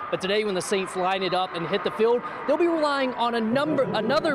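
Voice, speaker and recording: A man with a high pitch, lively intonation and a fairly quick pace, over noticeable background noise. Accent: American. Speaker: sports anchor and reporter. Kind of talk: local TV sports reporting.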